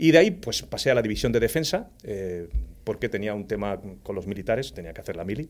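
Very fast and lively in intonation, a man with a fairly low pitch speaks with big swings in loudness. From Spain, Andalusia (Jaén province). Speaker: cybersecurity executive. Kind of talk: casual interview.

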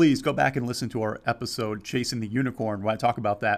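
The speaker is a man. His voice has vocal fry. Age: 40s. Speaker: podcast host and amateur endurance runner. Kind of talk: solo podcast monologue. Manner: animated.

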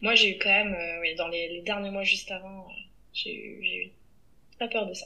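A woman speaks at a fairly slow pace, taking long, frequent pauses, her loudness swinging widely. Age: 30s. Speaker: teacher and podcaster. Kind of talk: interview. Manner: halting.

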